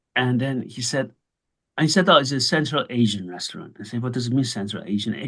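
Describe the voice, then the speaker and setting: Talking very fast, a man uses a medium pitch and lively intonation. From Iran. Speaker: interviewer. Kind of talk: interview.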